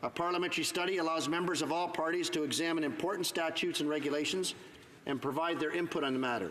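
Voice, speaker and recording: A man's high voice moves at a very fast pace against noticeable background noise. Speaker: Member of Parliament giving a speech in the House of Commons. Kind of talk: parliamentary floor speech / debate.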